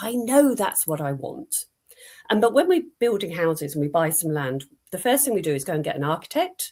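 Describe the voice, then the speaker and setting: At a fairly quick pace, a woman with a medium pitch makes very wide pitch swings. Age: 60s. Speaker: personal branding expert. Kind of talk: casual chat.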